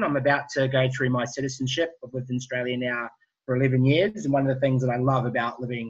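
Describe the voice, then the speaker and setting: Talking at a very fast pace, a man has a medium-pitched and somewhat breathy voice. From New Zealand. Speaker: entrepreneur. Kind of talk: webinar presentation.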